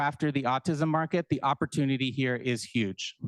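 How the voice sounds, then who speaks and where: A man talks at a moderate pace over a quiet background, with a dry, close sound and no echo. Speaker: startup founder. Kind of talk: pitch presentation. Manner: filler words.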